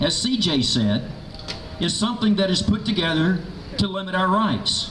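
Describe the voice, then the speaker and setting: Over noticeable background noise and audible room echo, a man with a high pitch talks at a fairly slow pace with ordinary pitch variation. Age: 60s. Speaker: radio host, rally speaker. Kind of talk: political rally speech. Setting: outdoor rally with crowd. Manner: animated.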